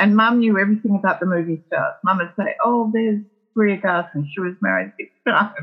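With an Australian accent, a woman speaks at a fairly quick pace, her medium pitch carried by lively intonation. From Melbourne, Australia. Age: 70s. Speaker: entertainment publicist. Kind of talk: interview conversation. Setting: remote call from her kitchen.

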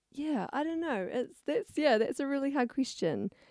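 A woman speaks with a southern New Zealand accent. Her tone is dark and mellow. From New Zealand, rural Clutha Valley, Otago. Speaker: young mother. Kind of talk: casual chat. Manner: hesitant, many fillers and laughs.

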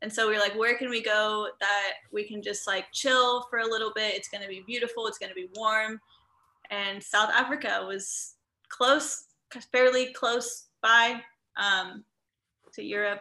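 A woman with a Midwestern American accent speaks fairly slowly in a bright, sharp tone at a fairly high pitch. Her intonation is fairly even, but her loudness swings widely. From US Midwest, Indiana. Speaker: travel entrepreneur and digital nomad coach. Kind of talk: casual interview chat.

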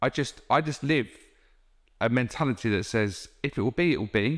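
A man with an English Midlands accent on a very clean recording with a silent background. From England, Northamptonshire (Wellingborough). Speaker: recruitment business owner. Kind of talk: interview.

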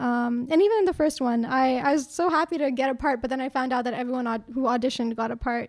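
A woman's high voice at a very fast pace, hardly any pauses, ordinary pitch variation, in a very clean recording with a silent background. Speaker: actor. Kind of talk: casual interview chat.

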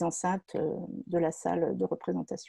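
Against a quiet background, a woman speaks at a very slow pace in a dark, mellow tone, the sound dry and close with no echo. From France, Seine-et-Marne. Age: 50s. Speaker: entrepreneur. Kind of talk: personal testimony. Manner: halting, many hesitations.

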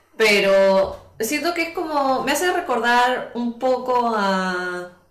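Audible room echo and noticeable background noise fill the recording. A woman speaks over it at a fairly high pitch with lively intonation. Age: 30s. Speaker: podcast guest. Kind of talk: casual chat.

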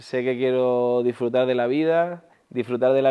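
Speaking at a moderate pace, a man has an unremarkable speaking voice, medium pitch and fairly even intonation. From Andalusia, Spain (Huelva). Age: 40s. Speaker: entrepreneur, former pro basketball player. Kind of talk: interview.

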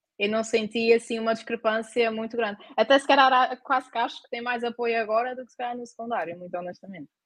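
At a very fast pace with hardly any pauses, a woman talks at a fairly high pitch with ordinary pitch variation and big swings in loudness, the sound dry and close with no echo. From Azores, Terceira island. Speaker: university student. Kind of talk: casual chat.

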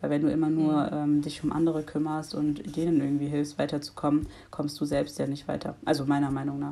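The voice moves at a fairly quick pace with monotone, flat intonation and a dark, mellow tone. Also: woman, very clean recording, silent background. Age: 20s. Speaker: law student and activist. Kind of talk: casual interview.

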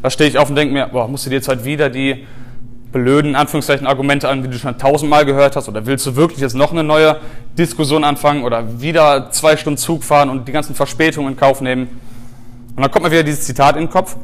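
Over noticeable background noise, someone speaks at a very fast pace with fairly even intonation. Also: man, fairly high pitch for a man. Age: 20s. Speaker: animal rights activist and podcast host. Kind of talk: lecture. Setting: stage with audience.

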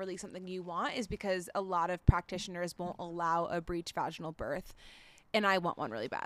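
In an American accent, a woman with a normal speaking voice talks at a moderate pace and medium pitch. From Florida, US. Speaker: podcast co-host, mother. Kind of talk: casual chat. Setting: outdoors at parents' house.

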